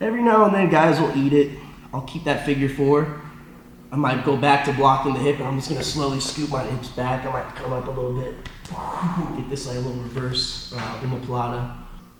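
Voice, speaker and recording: Over noticeable background noise and audible room echo, a man with an American accent talks at a fairly quick pace, medium in pitch and fairly even in intonation. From Florida. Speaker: jiu jitsu instructor and competitor. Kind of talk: tutorial. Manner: halting.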